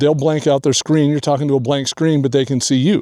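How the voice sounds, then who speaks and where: Over a very clean recording with a silent background, a man with a fairly high pitch and a dark, mellow tone speaks at a fairly quick pace. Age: 60s. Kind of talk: casual talk to camera. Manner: hesitant, conversational.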